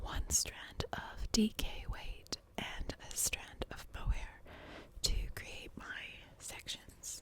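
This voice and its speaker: Whispering at a very slow pace with long, frequent pauses, a woman's voice shows big swings in loudness. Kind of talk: ASMR knitting podcast. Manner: whispered.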